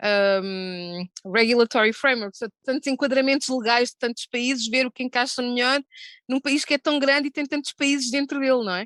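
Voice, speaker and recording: A woman's high voice with a European Portuguese accent at a moderate pace, dry and close with no echo, against a quiet background. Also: ordinary pitch variation. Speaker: gambling industry executive. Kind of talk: panel discussion. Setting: video call.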